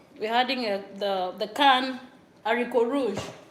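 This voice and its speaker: A woman speaks at a very slow pace with ordinary pitch variation and audible room echo. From Nigeria, Akwa Ibom. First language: local Nigerian language. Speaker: cooking vlogger. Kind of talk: cooking tutorial. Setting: home kitchen. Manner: halting.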